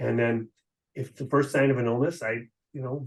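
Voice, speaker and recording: Somewhat breathy, a man's voice moves at a fairly quick pace. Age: 60s. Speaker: physician. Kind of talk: interview. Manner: casual, hesitant with fillers.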